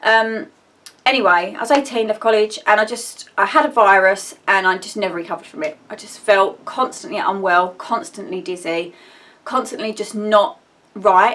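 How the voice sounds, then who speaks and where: A woman's fairly high voice in an Essex accent, lively in intonation, moderate in pace, with big swings in loudness. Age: 30s. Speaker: vlogger. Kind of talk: personal vlog update. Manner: rambling, hesitant.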